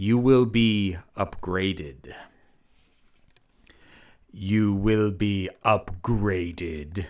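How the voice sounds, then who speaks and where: A man's put-on robotic character voice, fairly low in pitch, at a very slow pace with long, frequent pauses. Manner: meditative.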